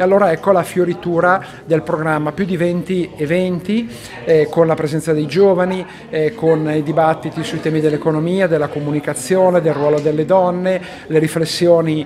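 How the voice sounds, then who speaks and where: A high-pitched man at a fairly quick pace, fairly even in intonation, over noticeable background noise. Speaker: priest. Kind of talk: interview answer. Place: meeting room. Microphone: handheld.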